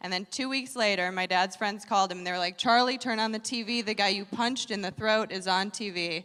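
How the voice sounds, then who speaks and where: A woman with an American accent has a normal speaking voice. She talks at a fairly quick pace with fairly even intonation. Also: medium pitch for a woman, hardly any pauses. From Wisconsin, US Upper Midwest. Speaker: comedian. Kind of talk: stand-up.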